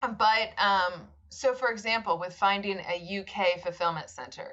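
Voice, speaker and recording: Using a normal speaking voice, a woman with an American accent talks fairly slowly at a medium pitch. Her pitch variation is ordinary, while her loudness swings widely. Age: 40s. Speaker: e-commerce founder. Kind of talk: podcast interview.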